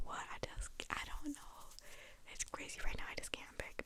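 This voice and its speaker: Someone whispers at a fairly quick pace. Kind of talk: casual chatty discussion of a TV show, direct to the viewer. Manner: talking fairly fast, enthusiastic, rambling.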